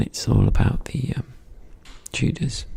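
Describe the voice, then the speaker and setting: Someone soft-spoken talks at a very slow pace. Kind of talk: casual intro talk to camera.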